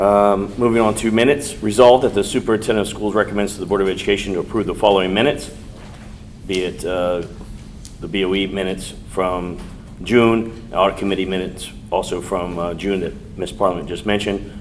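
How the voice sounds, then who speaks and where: With audible room echo, a man with a fairly low pitch talks at a very fast pace and with fairly even intonation. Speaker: school board president chairing meeting. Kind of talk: formal board meeting proceedings. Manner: mumbling at times.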